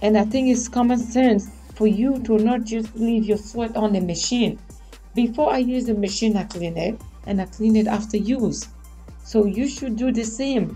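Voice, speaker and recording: Faint music plays behind a woman whose intonation is fairly even. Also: moderate pace. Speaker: vlogger. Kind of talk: casual vlog chat. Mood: mildly annoyed, opinionated. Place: home room. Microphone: studio mic.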